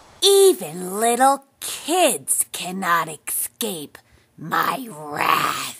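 A female-sounding put-on character voice, medium in pitch, at a very slow pace. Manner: menacing, gloating.

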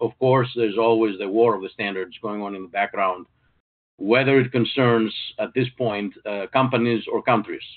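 Against a quiet background, a man keeps a moderate pace and a fairly even intonation. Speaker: webinar presenter. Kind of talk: lecture. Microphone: video call.

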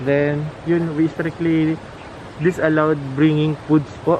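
A man speaks fairly slowly in a fairly high voice, with noticeable background noise around him. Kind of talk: playful mock tour-guide patter, casual comedic roleplay. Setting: outdoors at a resort, walking around the grounds. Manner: halting, with fillers ('uh', 'then') and bursts of laughter.

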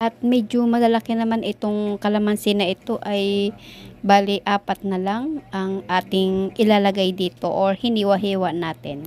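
A woman's ordinary speaking voice, an ordinary speaking voice at medium pitch, with fairly even intonation and a moderate pace. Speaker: cooking vlogger. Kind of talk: cooking tutorial narration.

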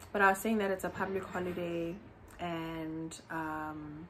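With an unremarkable speaking voice, a woman talks in a fairly low pitch and fairly even intonation over light background noise. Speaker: vlogger. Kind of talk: casual vlog chat. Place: home room. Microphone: phone near.

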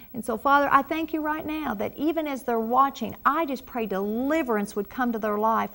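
Here a woman talks in a Southern US accent. Her voice sits high in pitch. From US South. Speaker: pastor. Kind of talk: prayer ministry broadcast. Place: studio. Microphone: lapel.

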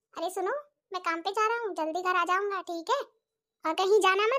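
Using a cartoonish character voice, a woman talks at a very fast pace and an extremely high pitch with ordinary pitch variation. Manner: teasing, coaxing.

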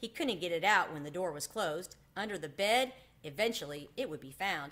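The intonation is lively and the pace moderate. The tone comes across fairly bright. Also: woman.

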